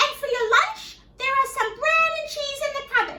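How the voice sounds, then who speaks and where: A woman puts on a character voice. It sounds squeaky. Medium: read story.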